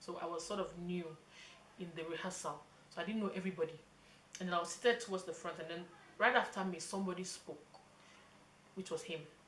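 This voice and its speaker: Talking very fast in a fairly low voice, a woman leaves long, frequent pauses, and the room echo is audible. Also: fairly even intonation. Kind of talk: casual chat.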